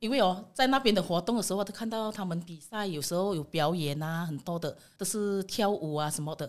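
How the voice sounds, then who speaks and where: A woman's unremarkable speaking voice of medium pitch, fairly quick and with hardly any pauses, ordinary pitch variation, on a very clean recording with a silent background. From Indonesia. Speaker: immigrant woman sharing her story. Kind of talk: casual chat.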